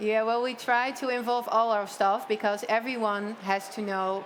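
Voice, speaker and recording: A woman speaks at a medium pitch with fairly even intonation. Noticeable background noise sits behind her. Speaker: hotel owner. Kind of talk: panel discussion.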